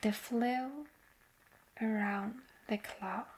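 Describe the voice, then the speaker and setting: Noticeable background noise sits behind a woman speaking at a very slow pace. Her pitch is fairly high and her intonation fairly even. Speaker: ASMR artist. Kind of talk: sleep story. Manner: soft-spoken, slow.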